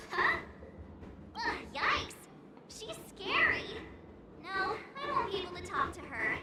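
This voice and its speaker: A put-on character voice at an extremely high pitch goes at a fairly slow pace with long, frequent pauses, slight echo and loud background noise. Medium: video game. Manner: expressive, jumpy.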